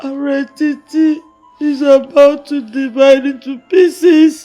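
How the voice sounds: Faint music plays in the background as a put-on character voice speaks at high pitch and a fairly slow pace.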